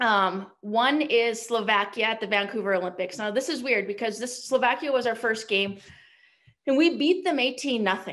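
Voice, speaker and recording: A woman with a Canadian accent talks at a moderate pace in an animated tone, her fairly high pitch showing ordinary variation. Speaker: hockey coach and former Olympic player. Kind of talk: panel discussion.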